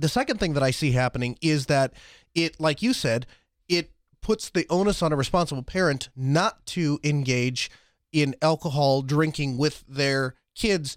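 A man has an unremarkable speaking voice, with a fairly high pitch, ordinary pitch variation and a moderate pace. The recording is very clean with a silent background, dry and close with no echo, and his loudness stays very even. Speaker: co-host. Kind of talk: casual chat. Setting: live stream.

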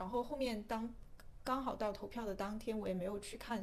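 A woman's fairly high, somewhat breathy voice moves at a fairly quick pace with fairly even intonation. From mainland China. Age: young. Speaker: podcast guest. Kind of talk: casual chat.

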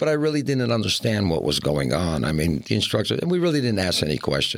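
Talking at a very fast pace, a man with an American accent and a fairly low pitch shows very wide pitch swings and vocal fry. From northeastern Pennsylvania, coal region. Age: 60s. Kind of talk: interview.

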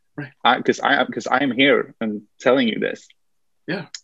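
The speech comes with a Swedish accent. The pace is moderate. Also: man. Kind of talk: interview conversation. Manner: halting, hesitant.

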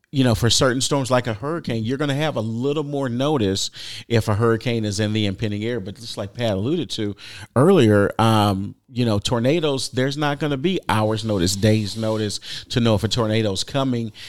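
In a very clean recording with a silent background, a man with an American accent speaks at a fairly quick pace in a normal speaking voice of medium pitch. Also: ordinary pitch variation. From Texas. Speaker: government public information officer. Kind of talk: radio interview.

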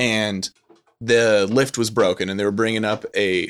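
A man with a Californian accent and a fairly low pitch. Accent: Californian American English. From Southern California. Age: 30s. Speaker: film lecturer. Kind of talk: casual chat.

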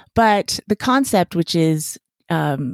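With an American accent, a woman uses an ordinary speaking voice, fairly low in pitch with lively intonation, in a dry, close sound with no echo and a very clean recording over a silent background. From US West (Las Vegas, Nevada). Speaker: chiropractor and podcaster. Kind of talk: interview.

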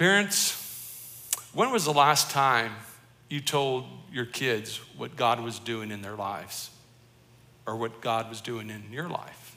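With an American accent, a medium-pitched man speaks at a fairly slow pace with ordinary pitch variation, long, frequent pauses, big swings in loudness and audible room echo. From Colorado, US. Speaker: pastor. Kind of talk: sermon.

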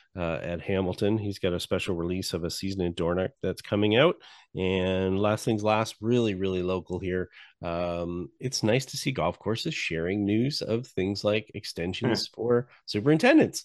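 Against a quiet background, a man with a normal speaking voice talks at a moderate pace and a fairly low pitch. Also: ordinary pitch variation. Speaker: podcast host, interviewer. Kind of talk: casual chat.

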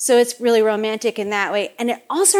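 In a normal speaking voice, a woman talks at a moderate pace with fairly high pitch and fairly even intonation, on a very clean recording with a silent background. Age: 30s. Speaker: baker and cookbook author. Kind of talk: author talk to live audience. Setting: shop kitchen with audience.

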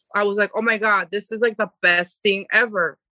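A woman's bright, sharp voice at a medium pitch with an American accent, recorded dry and close with no echo. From Panorama City, Los Angeles. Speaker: vegan food business owner. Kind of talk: casual interview. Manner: fast.

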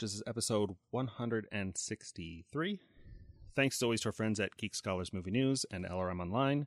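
An American-accented man of medium pitch speaks in an unremarkable speaking voice, the sound dry and close with no echo over a quiet background. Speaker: podcast host. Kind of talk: casual chat.

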